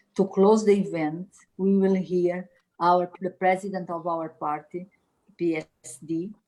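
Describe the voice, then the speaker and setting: With a Portuguese accent, a woman with a fairly low pitch and a dark, mellow tone speaks with fairly even intonation. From Portugal. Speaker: politician and event organizer. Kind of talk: formal opening speech. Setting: video call. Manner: formal.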